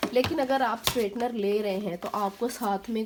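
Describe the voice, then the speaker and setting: A woman speaks over noticeable background noise. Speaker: beauty vlogger. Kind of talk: tutorial. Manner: casual, hesitant with fillers.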